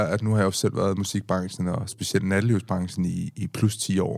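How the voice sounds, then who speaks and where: A fairly low-pitched man at a fairly slow pace, intonation fairly even. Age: 30s. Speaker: podcast host. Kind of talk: casual chat. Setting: studio. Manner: halting.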